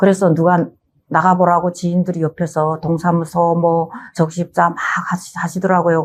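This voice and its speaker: A woman with a North Korean accent speaks at a moderate pace in a fairly low voice. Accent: North Korean dialect, some. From North Korea, North Hamgyong. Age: 50s. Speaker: singer, North Korean defector. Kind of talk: life story interview.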